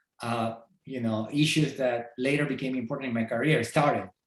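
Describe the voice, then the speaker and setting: A man speaks with a Peruvian accent. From Peru, Lima. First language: Spanish. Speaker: entomology professor. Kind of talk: podcast interview. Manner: halting.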